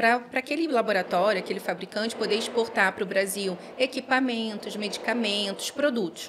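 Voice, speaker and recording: Over noticeable background noise, a woman with fairly high pitch talks at a moderate pace with ordinary pitch variation. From Rio de Janeiro, Brazil. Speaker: pharmacist. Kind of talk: casual interview.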